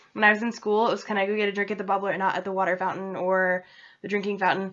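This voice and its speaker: The speech moves at a very fast pace with an American accent. The intonation stays monotone and flat. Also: woman, medium pitch for a woman. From central Massachusetts. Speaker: vlogger. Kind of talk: casual vlog. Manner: loud.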